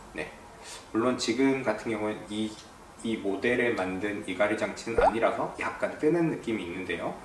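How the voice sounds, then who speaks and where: A man speaks at a moderate pace in a fairly low pitch, with ordinary pitch variation. Noticeable background noise and audible room echo surround his voice. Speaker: dentist. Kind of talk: explainer video.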